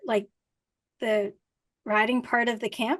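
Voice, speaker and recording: At a moderate pace, a woman delivers her words. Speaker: riding instructor and hypnotherapist. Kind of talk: interview. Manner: quiet.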